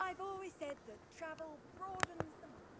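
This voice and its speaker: A squeaky, put-on character voice at an extremely high pitch and moderate pace over loud background noise. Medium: video game. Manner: formal, authoritative.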